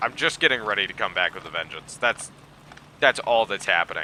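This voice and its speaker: A man with an animated tone. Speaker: gaming video creator. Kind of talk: let's play commentary.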